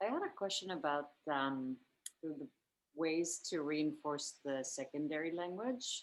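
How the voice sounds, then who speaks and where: A woman with a Finnish accent speaks at a fairly slow pace. Her pitch is very deep and low. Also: ordinary pitch variation. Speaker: parent attending workshop. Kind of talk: question in a workshop.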